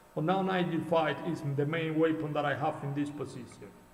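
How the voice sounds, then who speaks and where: A man's high-pitched, monotone voice with flat intonation, a Cuban accent, and audible room echo. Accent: non-native English, Cuban Spanish. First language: Spanish. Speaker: chess coach and streamer. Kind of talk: live game commentary. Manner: halting.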